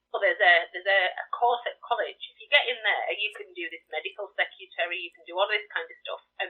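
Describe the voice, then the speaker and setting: A woman with a Geordie accent, talking at a very fast pace. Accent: Geordie, Newcastle tinge. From northern England, County Durham. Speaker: charity volunteer organiser. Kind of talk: radio interview. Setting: live radio broadcast.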